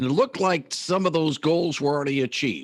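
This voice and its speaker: A man talks in a plain, everyday voice with lively intonation. His pace is fairly quick, and the recording is very clean with a silent background. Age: 60s. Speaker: radio host. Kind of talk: radio interview.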